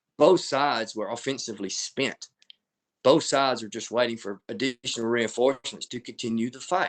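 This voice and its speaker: A man with an American accent talks at a medium pitch and a fairly quick pace, with ordinary pitch variation and big swings in loudness. The sound is dry and close, with no echo. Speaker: military historian and author. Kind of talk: lecture. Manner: fast.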